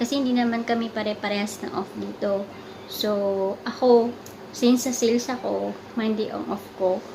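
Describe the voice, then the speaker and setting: A soft-spoken woman talks at a moderate pace in a fairly high pitch, her intonation monotone and flat. Audible room echo and noticeable background noise are present. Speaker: vlogger, overseas worker in sales. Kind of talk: casual vlog chat.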